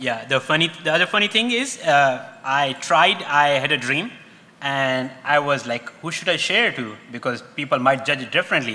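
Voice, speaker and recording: Noticeable background noise sits behind a man with a Pakistani accent. His pitch is fairly high, his pace moderate and his intonation lively. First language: Urdu. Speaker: panelist. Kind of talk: panel discussion.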